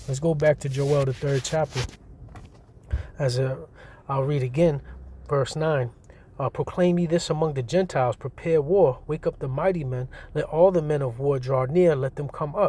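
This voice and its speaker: A man with a fairly high, somewhat breathy voice and a dark, mellow tone speaks with fairly even intonation and long, frequent pauses on a very clean recording with a silent background. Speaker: street preacher / religious teacher. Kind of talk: scripture teaching. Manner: fast; casual, repetitive.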